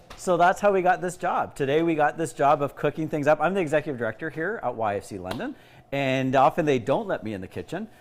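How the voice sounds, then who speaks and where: With vocal fry and fairly high pitch, a man races along at a very fast pace with lively intonation. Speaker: youth organization executive director. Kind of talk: casual cooking livestream. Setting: kitchen livestream. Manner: loud.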